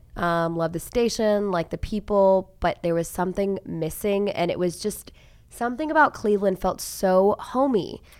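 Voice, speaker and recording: In an American accent, a woman with an ordinary speaking voice talks at a moderate pace and medium pitch, with ordinary pitch variation. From Tulsa, Oklahoma. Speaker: TV news journalist. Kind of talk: casual chat. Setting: studio.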